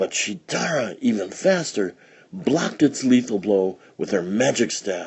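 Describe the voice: A plain read-aloud passage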